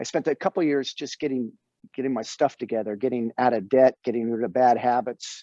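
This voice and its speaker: Recorded dry and close with no echo against a quiet background, a man with an American accent speaks fairly quickly in a dark, mellow tone at medium pitch, with ordinary pitch variation. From Northern California. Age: 60s. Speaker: actor. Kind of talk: podcast interview. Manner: animated.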